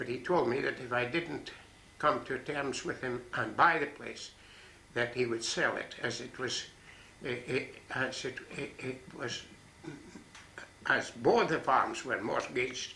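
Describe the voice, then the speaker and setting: A man with a northeast Scottish accent, medium in pitch, with fairly even intonation and long, frequent pauses. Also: fairly slow pace. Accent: northeast Scots. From Buchan, northeast Scotland. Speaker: farmer. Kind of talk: interview answer.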